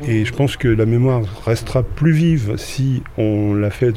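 This man speaks at a medium pitch with ordinary pitch variation. There is noticeable background noise. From Normandy, Rouen. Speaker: retired schoolteacher, amateur photographer. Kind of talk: interview.

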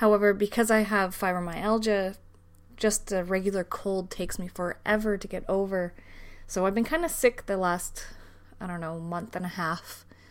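A woman with a Canadian accent speaks at a medium pitch and a moderate pace, with fairly even intonation. The recording is very clean, with a silent background. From Canada. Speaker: podcast host. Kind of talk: solo casual podcast talk. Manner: hesitant, many fillers.

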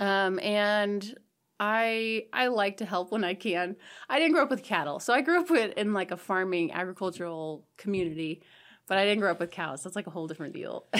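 On a very clean recording with a silent background, a woman speaks at a fairly quick pace with medium pitch and lively intonation. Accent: American. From southeast Nebraska, US. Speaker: college professor. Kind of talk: casual interview.

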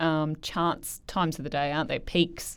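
Fairly low-pitched for a woman, she speaks with an Australian accent and fairly even intonation on a very clean recording with a silent background. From Queensland, Australia. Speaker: podcast host. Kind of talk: interview.

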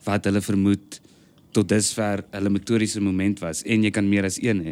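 The man's voice sits at a fairly low pitch. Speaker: stage and TV actor. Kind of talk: casual chat. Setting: on a stoep (porch).

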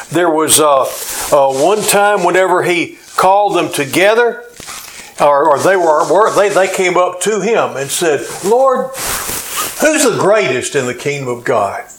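A man with a high pitch talks at a fairly slow pace against noticeable background noise. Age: 70s. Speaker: pastor. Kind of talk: sermon. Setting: church. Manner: hesitant with frequent uh fillers.

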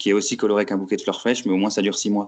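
The man's voice has a fairly low pitch. The background is quiet. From France, Lorraine (Metz). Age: 20s. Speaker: aspiring urban farmer, former public works site manager. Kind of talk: interview testimony. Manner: hesitant, many fillers.

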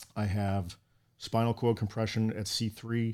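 A man with a Boston accent speaks at a fairly slow pace in a fairly low pitch and monotone, flat intonation, on a very clean recording with a silent background. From Boston, Massachusetts. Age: 40s. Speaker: firefighter. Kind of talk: casual interview. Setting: studio.

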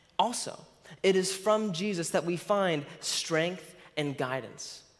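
A man talks slowly at a high pitch, his intonation lively.

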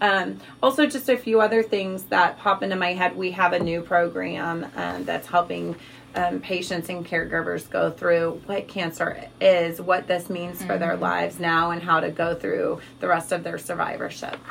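At a moderate pace, a woman with an American accent speaks over noticeable background noise. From Missouri, US Midwest. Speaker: tumor registrar. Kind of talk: interview.

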